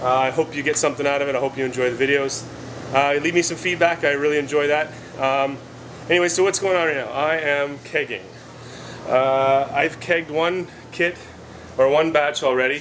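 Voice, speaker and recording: The speaker talks at a fairly quick pace with fairly even intonation and long, frequent pauses, over noticeable background noise. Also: man, fairly high pitch for a man. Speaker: homebrewing video creator. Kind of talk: casual tutorial vlog. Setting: basement brew area. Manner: fast; hesitant with many fillers.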